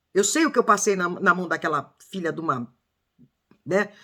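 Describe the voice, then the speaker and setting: This woman has a fairly low pitch and a bright, sharp tone, talking at a moderate pace. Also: long, frequent pauses. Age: 60s. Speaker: true crime commentator. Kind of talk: casual video commentary. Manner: emotional, halting with false starts.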